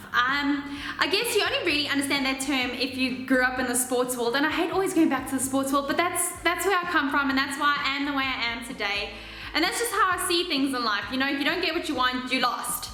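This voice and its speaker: Projecting a raised voice, a high-pitched woman talks at a very fast pace with ordinary pitch variation. Noticeable background noise and audible room echo fill the recording. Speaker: reality TV contestant and vlogger. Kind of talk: casual vlog. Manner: loud; halting.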